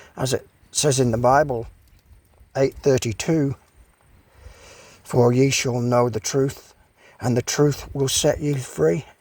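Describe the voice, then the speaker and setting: Talking at a very slow pace, a man leaves long, frequent pauses. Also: medium pitch for a man, ordinary pitch variation. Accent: Australian. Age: 70s. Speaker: vlogger. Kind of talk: casual monologue vlog. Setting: outdoors.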